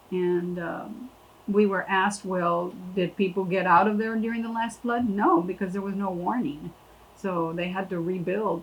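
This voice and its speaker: In an American accent, a woman speaks at a medium pitch and moderate pace with fairly even intonation, over noticeable background noise. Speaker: landowner. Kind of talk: interview.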